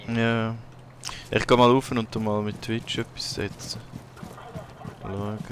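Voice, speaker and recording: Against noticeable background noise, a man at medium pitch speaks very slowly in a flat monotone, with long, frequent pauses. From Switzerland. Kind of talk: casual gaming chat.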